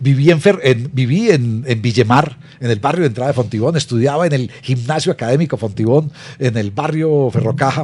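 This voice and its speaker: This man's somewhat breathy voice sits at a medium pitch, moving at a fairly quick pace with ordinary pitch variation. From Colombia, Medellín then Bogotá from age ten. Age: 60s. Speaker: podcast host, culture policy interviewer. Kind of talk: interview conversation. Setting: video podcast.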